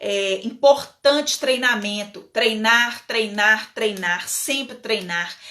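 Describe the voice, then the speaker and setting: A woman speaks in a strong northern Minas Gerais accent. She talks at a very slow pace with ordinary pitch variation. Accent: strong mineiro accent from northern Minas. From northern Minas Gerais, Brazil (Bocaiúva). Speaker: legal management consultant. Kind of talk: live webinar talk. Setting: online live stream. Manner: casual, with many fillers and repetitions.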